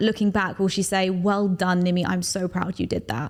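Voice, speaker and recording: A woman speaks with a London accent. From London, England. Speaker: TV host and public speaker. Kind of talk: podcast interview.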